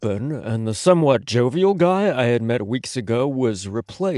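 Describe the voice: The reading aloud is plain, with lively intonation throughout.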